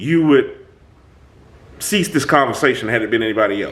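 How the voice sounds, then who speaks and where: A male voice at a moderate pace with very wide pitch swings. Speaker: self-help talk show host. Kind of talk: casual monologue. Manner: animated.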